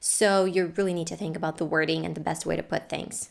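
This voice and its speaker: This woman speaks with a non-native accent at a fairly quick pace. Her pitch varies in an ordinary way. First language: not English. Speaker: family YouTuber and English teacher. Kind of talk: scripted tutorial. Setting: home filming room.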